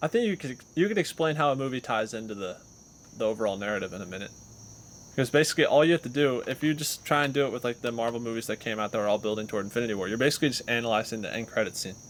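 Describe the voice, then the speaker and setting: A man speaks very fast at a medium pitch, with ordinary pitch variation. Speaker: podcast co-host. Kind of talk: casual chat. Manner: loud.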